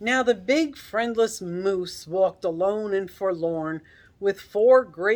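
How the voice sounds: What comes through is a natural reading voice.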